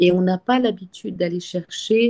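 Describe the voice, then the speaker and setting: The woman speaks at a fairly slow pace. Her intonation is fairly even and her tone dark and mellow. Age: 60s. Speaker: webinar participant. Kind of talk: personal sharing in group discussion. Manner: halting, many repetitions and hesitations.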